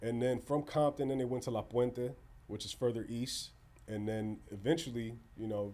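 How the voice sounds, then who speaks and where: With a dark, mellow tone and fairly even intonation, a man talks at a medium pitch and a moderate pace. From Southern California (Pomona area). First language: Spanish. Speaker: first-generation Salvadoran creative and musician. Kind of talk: casual podcast interview. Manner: casual, filler-heavy.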